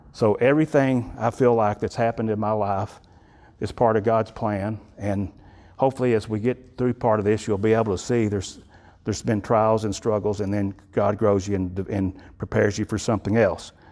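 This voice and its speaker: A man with a Texan accent, fairly low-pitched and dark, mellow in tone, fairly even in intonation at a moderate pace. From Texas (Electra / Wichita Falls, north Texas). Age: 60s. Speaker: guest speaker. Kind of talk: testimony. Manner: halting, with repetitions.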